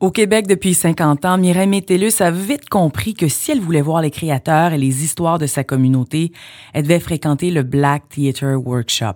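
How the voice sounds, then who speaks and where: A woman with a Quebec accent talks at a moderate pace, her fairly low pitch moving with lively intonation and her loudness very even. The recording is very clean with a silent background. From Quebec, Montreal. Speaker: podcast host and journalist. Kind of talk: scripted narration.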